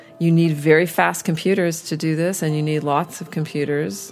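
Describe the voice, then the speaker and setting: There is music in the background as a woman speaks in a Canadian accent. Her pitch is very deep and low, with fairly even intonation. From Montreal. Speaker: astrophysics professor. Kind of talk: interview.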